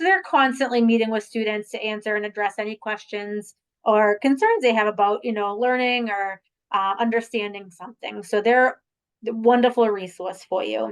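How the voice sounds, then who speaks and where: A woman with a strong Boston accent, fairly high pitch, fairly even intonation and a moderate pace. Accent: heavy Boston. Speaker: admissions representative. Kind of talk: virtual information session presentation. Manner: casual, with many fillers.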